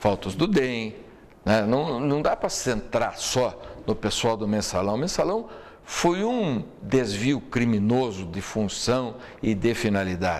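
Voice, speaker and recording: This man talks at a fairly slow pace in a medium pitch. He has a plain, everyday voice with lively intonation. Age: 60s. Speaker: lawyer and political commentator. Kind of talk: talk show interview.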